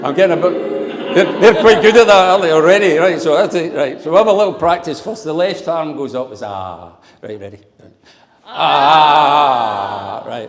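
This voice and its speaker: A man with a Glaswegian accent and a fairly high voice at a moderate pace, with very wide pitch swings and big swings in loudness. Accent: Glaswegian Scottish. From Scotland, Glasgow. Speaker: father of the bride. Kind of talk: wedding speech. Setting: wedding reception with audience. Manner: humorous, audience-engaging.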